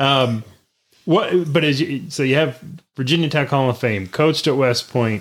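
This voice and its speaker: Speaking at a moderate pace with ordinary pitch variation, a man has an unremarkable speaking voice, captured on a very clean recording with a silent background. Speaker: podcast host. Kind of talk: interview.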